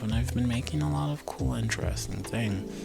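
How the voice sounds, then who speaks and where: Music plays behind a man with a very deep, low pitch and a calm, relaxed tone. His pitch swings very widely. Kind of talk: ASMR vlog, casual soft-spoken talk to camera. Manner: soft, calm, relaxed.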